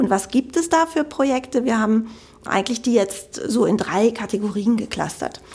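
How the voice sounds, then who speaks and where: A woman with a fairly high pitch and ordinary pitch variation talks at a fairly quick pace over noticeable background noise. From Germany, Cologne (Rhineland). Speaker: health tech sales executive. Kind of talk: interview. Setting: studio.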